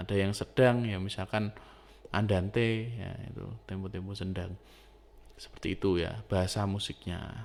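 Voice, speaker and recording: The speaking moves at a moderate pace. Its intonation is fairly even. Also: man, fairly low pitch for a man. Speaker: music teacher. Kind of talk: lecture. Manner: casual, hesitant with fillers.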